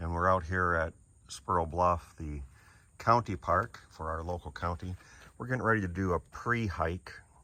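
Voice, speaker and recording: Against a very clean, silent background, a man speaks with very deep, low pitch and a bright, sharp tone. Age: 60s. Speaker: hiking vlogger. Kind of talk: casual vlog narration. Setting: outdoors. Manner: casual.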